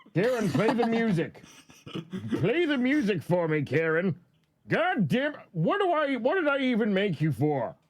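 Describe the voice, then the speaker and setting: This is a put-on character voice with very wide pitch swings. The pace is moderate. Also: man, high pitch for a man. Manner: scheming, demanding.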